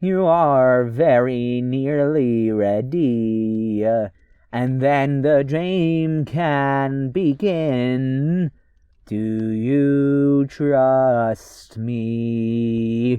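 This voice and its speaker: A man uses a put-on, robotic character voice. He speaks at a very slow pace. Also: medium pitch for a man. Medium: solo performance. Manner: mocking, chuckling.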